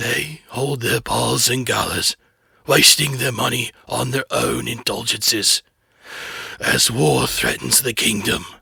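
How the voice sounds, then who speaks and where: The delivery is fairly slow. A man uses a raspy, put-on character voice pitched in the medium range. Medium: read story. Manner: calm, measured.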